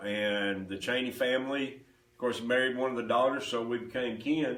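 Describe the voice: A man talks at a moderate pace with a medium pitch and fairly even intonation. His tone is fairly bright, and strong room echo surrounds him.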